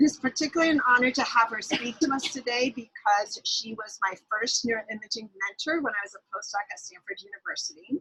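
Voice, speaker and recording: A woman speaks at a high pitch with a bright, sharp tone, a fairly quick pace and hardly any pauses. Her loudness swings widely while her pitch varies in an ordinary way, in a dry, close sound with no echo. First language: not English. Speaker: neuroimaging researcher introducing a speaker. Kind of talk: speaker introduction. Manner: fast.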